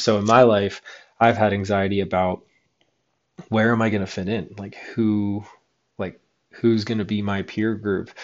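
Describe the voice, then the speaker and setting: A man with an American accent, fairly low in pitch, flat and monotone in intonation, at a moderate pace. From Western Pennsylvania. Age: 30s. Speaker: podcast host, former pro snowboarder. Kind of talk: solo podcast monologue. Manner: hesitant, frequent fillers.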